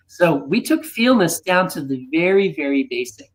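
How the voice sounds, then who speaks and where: A high-pitched man with an American accent and very wide pitch swings. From United States. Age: 60s. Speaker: fitness system co-creator. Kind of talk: interview.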